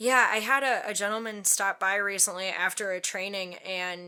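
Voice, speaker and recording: In a very clean recording with a silent background, a woman with a Midwestern accent talks at a moderate pace in a bright, sharp tone at a medium pitch. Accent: Midwest accent, strong O's. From Wisconsin, US Midwest. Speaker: safety specialist. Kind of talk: interview conversation. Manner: casual, many fillers.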